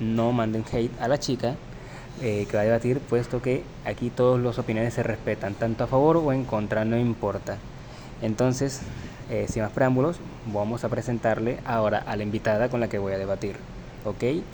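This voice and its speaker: Against noticeable background noise, a man talks at medium pitch and a moderate pace with fairly even intonation. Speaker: podcast host. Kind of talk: debate. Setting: university library. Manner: soft-spoken.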